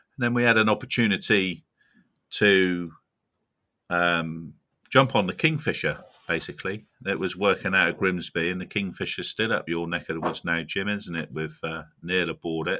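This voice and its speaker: Over a silent background in a very clean recording, a man with a West Country accent speaks at a moderate pace, his very deep, low pitch carrying a bright, sharp tone. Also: ordinary pitch variation. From South Devon, England. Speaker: crab fisherman and shellfish chef. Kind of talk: casual interview.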